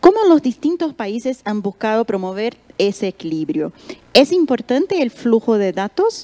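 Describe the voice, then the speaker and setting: Over noticeable background noise, a woman with a fairly high voice makes very wide pitch swings, the sound dry and close with no echo. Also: moderate pace. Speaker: panel moderator. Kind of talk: panel moderation.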